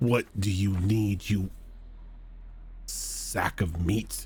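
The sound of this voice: Growling in a put-on character voice, a man speaks at a fairly low pitch. His pace is very slow.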